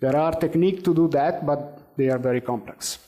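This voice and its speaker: With an Italian accent, a man speaks in a fairly high, dark, mellow voice at a moderate pace with ordinary pitch variation. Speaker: conference speaker on AI. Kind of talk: conference presentation; audience Q&A answer. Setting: conference stage with audience. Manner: hesitant, many fillers.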